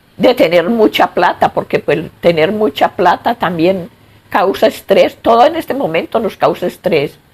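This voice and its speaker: Over noticeable background noise, a woman talks at a fairly slow pace and medium pitch, her pitch swinging very widely. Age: 70s. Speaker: grandmother interviewee. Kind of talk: interview.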